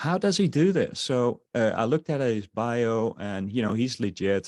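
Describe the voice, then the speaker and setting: A man with a slight Dutch accent, medium pitch and ordinary pitch variation, fairly slow pace, dry and close sound with no echo. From Netherlands. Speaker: online marketer. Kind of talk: webinar sales presentation. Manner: halting, many fillers.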